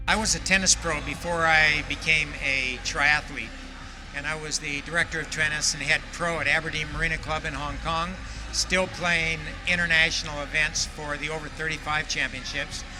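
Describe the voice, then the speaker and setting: Amid noticeable background noise, a man speaks at a fairly high pitch and a moderate pace with monotone, flat intonation. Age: 70s. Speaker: veteran triathlete and tennis coach. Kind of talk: interview testimony.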